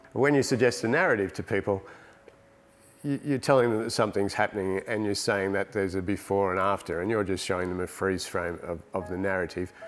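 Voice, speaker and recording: The speech moves at a fairly quick pace with an Australian accent. Pitch variation is ordinary. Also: man, fairly low pitch for a man. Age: 60s. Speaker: painter and digital artist. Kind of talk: interview monologue about his art. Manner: halting, repeats words.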